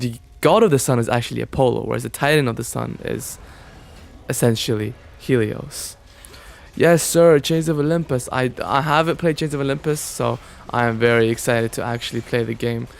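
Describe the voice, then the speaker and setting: A man at a medium pitch with ordinary pitch variation and a fairly quick pace, music playing behind him. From Oman. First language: Arabic. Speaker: gaming streamer. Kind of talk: casual livestream chat with gameplay. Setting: livestream while gaming.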